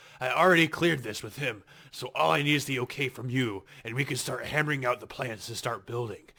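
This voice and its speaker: A man puts on a raspy character voice at a medium pitch, talking at a fairly quick pace with lively intonation. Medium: audio drama. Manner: blunt, plain-spoken.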